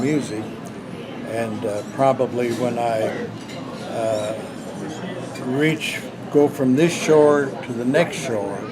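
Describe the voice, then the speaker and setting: A man speaks at a very slow pace with ordinary pitch variation and a medium pitch. Crowd noise sits in the background, and the room has audible echo. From North Dakota, US. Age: 80s+. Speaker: gospel singer. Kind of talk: casual chat. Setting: round table discussion.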